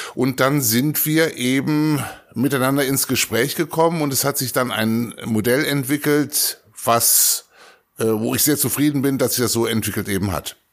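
At a moderate pace, a man speaks in a medium pitch with ordinary pitch variation and a plain, everyday voice. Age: 60s. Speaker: school principal. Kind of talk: interview.

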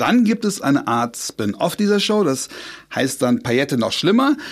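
This man's pitch moves up and down very widely. He keeps a moderate pace. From Trier, western Germany. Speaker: podcast host. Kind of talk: casual chat; scripted narration.

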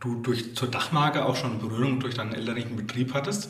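Over noticeable background noise and audible room echo, a man speaks at a medium pitch and a fairly quick pace. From Rhön, Lower Franconia/Hesse/Thuringia border, Germany. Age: 40s. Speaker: podcast host, environmental education centre manager. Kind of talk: interview.

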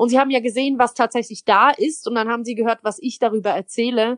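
A woman with a plain, everyday voice speaks at a fairly high pitch and a fairly quick pace. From Switzerland. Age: 20s. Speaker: poetry slammer and cabaret artist. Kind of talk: interview. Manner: casual.

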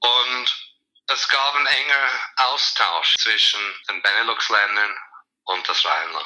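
Audible room echo surrounds a man speaking at a very slow pace. He leaves long, frequent pauses. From USA, born in Zurich. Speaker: art fair director. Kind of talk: interview.

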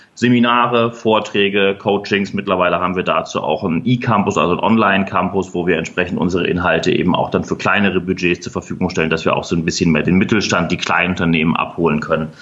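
Over noticeable background noise, a man with a very deep, low pitch talks at a very fast pace with hardly any pauses and ordinary pitch variation. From Hamburg, northern Germany. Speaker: leadership trainer. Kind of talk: interview.

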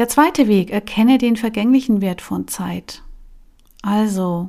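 Recorded very cleanly against a silent background, a woman speaks at a fairly slow pace in a dark, mellow tone. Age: 40s. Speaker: life coach and podcast host. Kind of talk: solo podcast talk.

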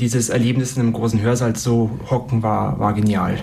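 Audible room echo and noticeable background noise surround the speaker. A man talks at a moderate pace with fairly even intonation. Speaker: university student. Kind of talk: interview.

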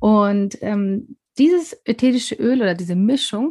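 A woman's voice sits at a mid-range pitch and rises and falls in a typical way. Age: 40s. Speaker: wellness consultant. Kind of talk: casual interview. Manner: hesitant, many fillers.

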